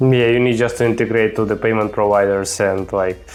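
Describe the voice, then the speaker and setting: Moderate pace and fairly even intonation in a non-native accent, with music in the background. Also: man. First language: not English. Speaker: e-commerce podcast host. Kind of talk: podcast interview.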